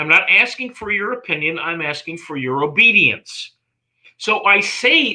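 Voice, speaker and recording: Using a raised, projected voice, a man with an American accent speaks fairly slowly with very wide pitch swings. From US East Coast. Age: 60s. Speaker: life and relationship coach. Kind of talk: interview. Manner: halting.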